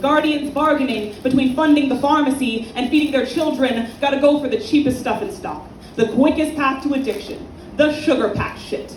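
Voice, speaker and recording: Moderate pace and ordinary pitch variation over noticeable background noise. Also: woman, high pitch for a woman. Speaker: slam poet. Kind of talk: poetry slam performance. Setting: live event venue.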